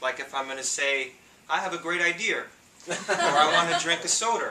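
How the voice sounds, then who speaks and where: A man with a New York accent talks at a moderate pace. Noticeable background noise runs behind him. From New York City. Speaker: public speaking club member. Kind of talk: humorous speech. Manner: animated.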